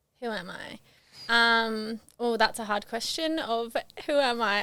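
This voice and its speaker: In an Australian accent, a woman speaks loudly with a bright, sharp tone and a fairly high pitch. Her pace is fairly slow, and her pitch varies in an ordinary way. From Queensland, Australia. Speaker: reality TV participant. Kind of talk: podcast interview. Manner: hesitant.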